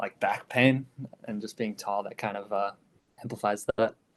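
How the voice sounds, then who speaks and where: Speaking fairly quickly with an American accent, a man uses ordinary pitch variation. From US Midwest, Chicago. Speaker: DJ and music producer. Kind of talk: podcast interview. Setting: remote call from bedroom. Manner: hesitant, many fillers.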